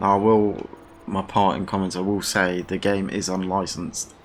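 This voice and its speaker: A man's very deep, low voice with a British accent, at a moderate pace, in monotone, flat intonation. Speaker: gaming YouTuber. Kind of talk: video game review. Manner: casual, halting with repetitions.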